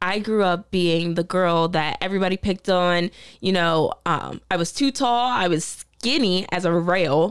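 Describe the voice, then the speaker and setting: Using a normal speaking voice, a woman talks at a fairly slow pace with hardly any pauses, very even loudness and ordinary pitch variation, on a very clean recording with a silent background. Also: medium pitch for a woman. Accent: American. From Delaware, US. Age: 20s. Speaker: reality TV contestant. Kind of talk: casual chat.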